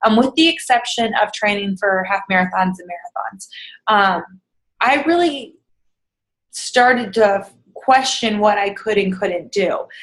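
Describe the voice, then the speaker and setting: A woman with a fairly high pitch speaks at a moderate pace. Her intonation is lively. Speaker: fitness coach vlogger. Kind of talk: casual motivational vlog. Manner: rambling, hesitant with many ums.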